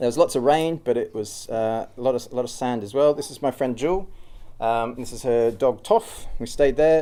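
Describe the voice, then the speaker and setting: Big swings in loudness mark this dark, mellow voice, which carries a strong Australian accent. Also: man, medium pitch for a man, ordinary pitch variation, moderate pace. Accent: thick Australian. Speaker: cyclist and traveller giving a talk. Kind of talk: informal public talk. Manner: hesitant, many fillers.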